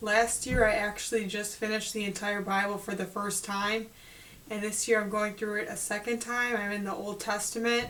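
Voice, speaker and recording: Over noticeable background noise, a woman speaks at a moderate pace in a medium-pitched voice with monotone, flat intonation. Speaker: Bible study host. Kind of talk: casual talk to camera. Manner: clear.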